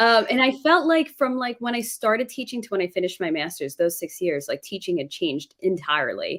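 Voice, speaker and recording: In a very clean recording with a silent background, a woman with a New York accent and a fairly high, fry-tinged voice speaks at a fairly quick pace, with very wide pitch swings and hardly any pauses. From New York City suburbs. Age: 30s. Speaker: former teacher, live streamer. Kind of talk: casual chat.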